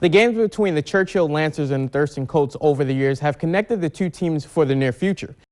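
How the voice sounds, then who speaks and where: With an American accent, a man talks at a fairly quick pace in a plain, everyday voice, his fairly high pitch moving with ordinary variation in a dry, close sound with no echo. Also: hardly any pauses. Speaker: sports reporter and anchor. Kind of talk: TV sports news reporter voiceover.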